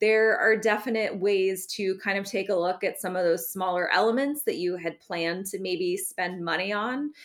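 A normal speaking voice at a moderate pace, with ordinary pitch variation and hardly any pauses. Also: woman, medium pitch for a woman. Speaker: wedding planner. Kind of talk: casual advice chat. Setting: video call.

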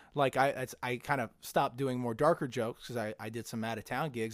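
An unremarkable speaking voice moves at a fairly quick pace on a very clean recording with a silent background. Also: man. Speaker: comedian. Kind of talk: casual chat.

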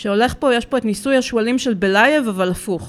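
With an unremarkable speaking voice, a woman talks at a fairly high pitch with ordinary pitch variation, on a very clean recording with a silent background. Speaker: dog trainer and cat behavior consultant. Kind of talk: casual interview chat. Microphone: too far from the mic.

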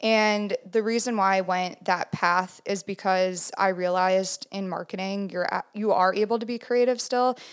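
On a very clean recording with a silent background, an unremarkable speaking voice with an American accent moves at a moderate pace with fairly even intonation. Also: woman, medium pitch for a woman, hardly any pauses. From Minnesota, US Midwest. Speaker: photographer. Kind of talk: casual interview.

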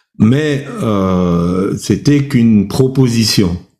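A man's fairly low voice, dark and mellow in tone, with ordinary pitch variation and audible room echo. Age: old. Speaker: preacher. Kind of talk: sermon with personal testimony. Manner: hesitant, many fillers.

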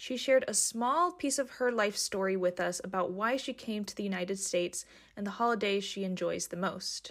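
A woman speaks at a fairly quick pace with a medium pitch, ordinary pitch variation, and a normal speaking voice. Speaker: podcast narrator. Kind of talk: scripted narration.

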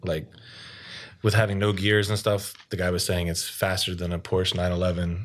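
At a moderate pace, a man with an American accent speaks in a very deep, low, monotone, flat voice over a very clean recording with a silent background. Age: 30s. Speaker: podcast guest, amateur basketball player. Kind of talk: casual chat.

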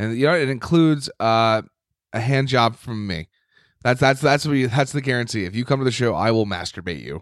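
In a very clean recording with a silent background, a man talks at a fairly quick pace with ordinary pitch variation. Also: medium pitch for a man. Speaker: stand-up comedian and podcast co-host. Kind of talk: casual chat. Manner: loud.

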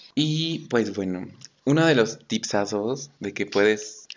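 The speaker is a man. His intonation shows ordinary variation. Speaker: podcast co-host. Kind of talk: casual chat.

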